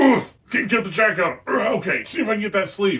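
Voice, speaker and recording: A man's raspy, high-pitched put-on character voice at a fairly quick pace. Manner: strained, muttering to himself.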